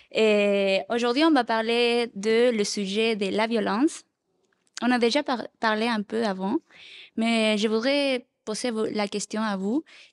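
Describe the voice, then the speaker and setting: In a Spanish accent, the speaker talks at a very slow pace with fairly even intonation. The sound is dry and close with no echo, and the recording is very clean against a silent background. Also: woman, fairly high pitch for a woman. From Chile. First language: Spanish (speaking French). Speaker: youth worker. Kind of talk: group discussion.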